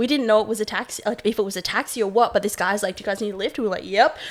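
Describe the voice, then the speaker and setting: A woman's fairly high voice with an Australian accent. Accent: Australian, noticeable to locals. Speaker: podcast host. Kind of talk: casual chat. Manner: animated.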